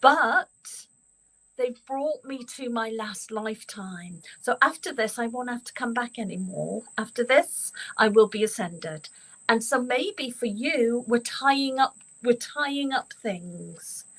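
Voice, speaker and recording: A woman with an Irish accent speaks at a very slow pace with a high pitch. Her intonation is lively, and her loudness swings widely. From Ireland. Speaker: psychic medium. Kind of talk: card reading.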